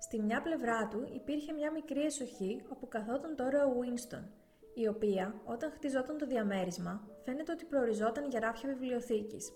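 A woman with a high voice and ordinary pitch variation talks at a moderate pace amid noticeable background noise. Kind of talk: audiobook reading aloud of a novel, steady literary narration. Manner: even, measured, narrator-like delivery with little change in tone.

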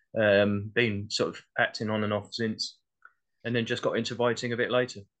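A man with a southeast English accent speaks at medium pitch and a moderate pace. The background is quiet. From Essex, England. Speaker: playwright and actor. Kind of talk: casual chat. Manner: halting.

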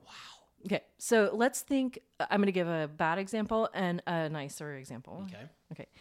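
A woman with an American accent and a plain, everyday voice, on a very clean recording with a silent background. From US South, Baton Rouge, Louisiana. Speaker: music professor and Alexander Technique practitioner. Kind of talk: casual chat.

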